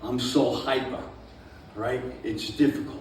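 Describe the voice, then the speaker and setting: Recorded with audible room echo and noticeable background noise, a man speaks at a very slow pace. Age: 70s. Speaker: stand-up comedian. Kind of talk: stand-up. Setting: stage with audience at a winery. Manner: hyper, animated.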